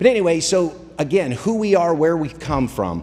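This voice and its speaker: A man speaks, his pitch swinging very widely. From Kentucky. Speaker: telecom sales executive. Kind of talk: business presentation. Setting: luncheon room with audience.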